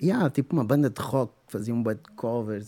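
With vocal fry and a dark, mellow tone, a man speaks at a moderate pace in a fairly low pitch with ordinary pitch variation, the sound dry and close with no echo. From Angola, Luanda. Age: 40s. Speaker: musician. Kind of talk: casual chat.

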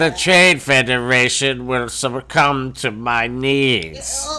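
A man talks in a put-on character voice at a very slow pace, with clear background noise behind him. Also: medium pitch for a man. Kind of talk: stiff, formal, high speak. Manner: pompous, commanding.

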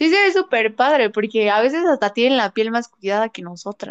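In a central Mexican accent, a woman speaks at a moderate pace with a fairly high pitch. The sound is dry and close, with no echo. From Mexico, Puebla. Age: 20s. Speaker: makeup artist. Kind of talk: casual interview.

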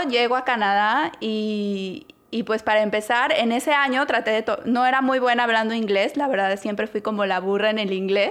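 In a very clean recording with a silent background, a woman speaks with a Mexican accent. Her pitch is fairly high, with ordinary pitch variation and a moderate pace. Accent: Mexican Spanish (Jalisco). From Mexico, Guadalajara. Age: 30s. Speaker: podcast co-host. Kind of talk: casual chat.

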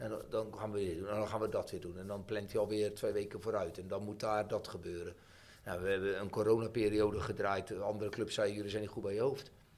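Very fast and monotone with flat intonation, a man speaks at a fairly low pitch. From Netherlands, Voorne-Putten (South Holland). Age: 50s. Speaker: football coach. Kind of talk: casual interview. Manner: halting, many repetitions and fillers.

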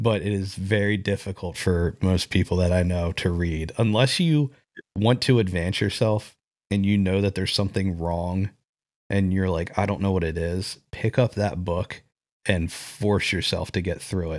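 A man with a very deep, low pitch and fairly even intonation speaks at a moderate pace in a very clean recording with a silent background. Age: 30s. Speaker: podcast host. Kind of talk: casual chat.

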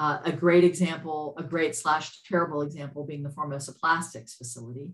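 In an American accent, a woman speaks at a fairly quick pace with a very deep, low pitch, a somewhat breathy sound, fairly even intonation and big swings in loudness. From US South, Lafayette, Louisiana. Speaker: environmental activist, nonprofit director. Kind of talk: interview conversation.

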